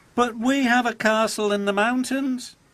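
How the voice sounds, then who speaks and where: Extremely high-pitched put-on character voice from a man, moderate in pace. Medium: read story.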